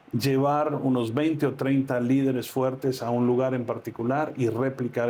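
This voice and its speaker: A man with a medium pitch talks with fairly even intonation over noticeable background noise. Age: 60s. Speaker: pastor. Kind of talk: interview. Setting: on location at a ministry in Medellín.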